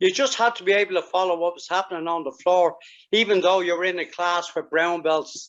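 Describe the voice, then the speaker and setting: A man with a Dublin accent speaks at a high pitch. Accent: Irish (Dublin). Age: 70s. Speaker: karate master. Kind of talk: interview.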